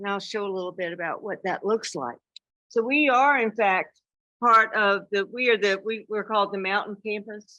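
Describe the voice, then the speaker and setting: A woman speaks with an American accent at a medium pitch and a moderate pace, with ordinary pitch variation. It is an ordinary speaking voice. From South Carolina. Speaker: university dean. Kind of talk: conference talk.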